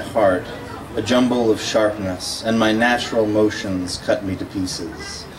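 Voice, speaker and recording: A man's fairly low voice, fairly slow and fairly even in intonation, over noticeable background noise. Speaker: poet. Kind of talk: poetry reading. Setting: live event, audience.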